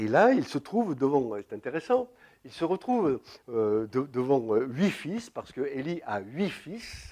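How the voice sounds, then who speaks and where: Against a quiet background, a man with a dark, mellow tone and a fairly high pitch talks at a fairly slow pace, his pitch swinging very widely. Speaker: preacher. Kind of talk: sermon.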